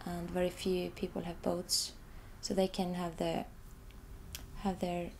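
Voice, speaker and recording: Speaking at a fairly slow pace, a woman with an Icelandic accent sounds somewhat breathy and fairly low in pitch. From Iceland, Reykjavik. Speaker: artist, photographer. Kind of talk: interview about own artwork. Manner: halting, many repetitions.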